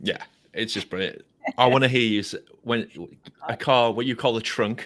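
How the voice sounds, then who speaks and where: At a moderate pace, a man with a London accent speaks at medium pitch with ordinary pitch variation. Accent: English, London-like. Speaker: podcast host. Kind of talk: casual chat.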